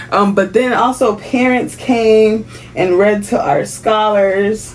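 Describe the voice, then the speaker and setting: Ordinary pitch variation marks this woman's medium-pitched voice. Noticeable background noise runs underneath. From Haiti. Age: 30s. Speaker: kindergarten teacher. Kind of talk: casual vlog talk to camera.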